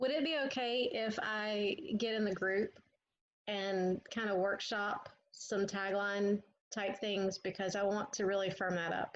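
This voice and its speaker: A woman speaks fairly slowly in a Southern US accent at a medium pitch. Her loudness is very even and her intonation fairly even. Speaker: marketing student. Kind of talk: group coaching call.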